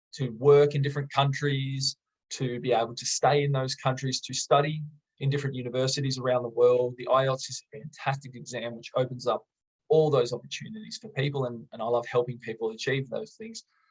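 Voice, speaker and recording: Fairly quick, somewhat breathy speech from a man, with ordinary pitch variation. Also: medium pitch for a man, big swings in loudness. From Australia. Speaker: English teacher. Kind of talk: tutorial. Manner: enthusiastic; moderate exam-style pace.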